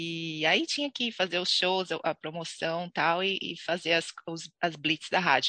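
A woman speaks at a fairly slow pace with a medium pitch and a bright, sharp tone. The sound is dry and close with no echo, over a quiet background. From Brazil, Santos (São Paulo coast). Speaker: Brazilian expat, sales professional and actress. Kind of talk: interview.

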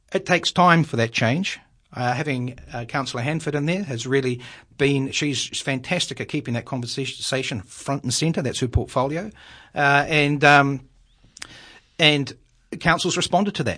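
A man with a New Zealand accent and a bright, sharp tone speaks at a moderate pace, his fairly high pitch showing ordinary variation against a quiet background. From New Zealand, Wellington. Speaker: local councillor. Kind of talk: radio interview.

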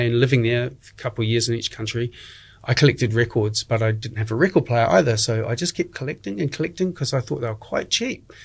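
In a very clean recording with a silent background, a man speaks in a somewhat breathy voice with a New Zealand accent. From New Zealand, Dunedin. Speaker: community radio DJ. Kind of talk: interview.

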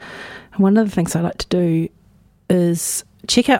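A woman's medium-pitched voice with a New Zealand accent. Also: dry, close sound with no echo. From New Zealand, North Island (Hawke's Bay area). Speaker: community radio host. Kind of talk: casual radio chat between songs. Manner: relaxed, conversational.

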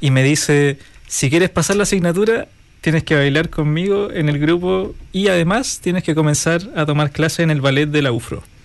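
A man speaks in an ordinary speaking voice, pitched fairly high, with ordinary pitch variation. His loudness stays very even at a moderate pace. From Chile, Araucanía region. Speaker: folk dance teacher. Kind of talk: interview.

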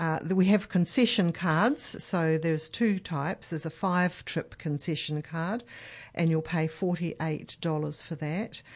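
In a New Zealand accent, a woman talks at a fairly slow pace and fairly low pitch with ordinary pitch variation over a quiet background. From New Zealand, Marlborough and Nelson. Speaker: aged care health support manager. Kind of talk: radio interview.

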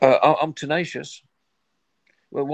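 A man with a fairly high pitch and vocal fry talks at a moderate pace with ordinary pitch variation. The background is quiet. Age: 70s. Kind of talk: interview. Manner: halting, many fillers and repetitions.

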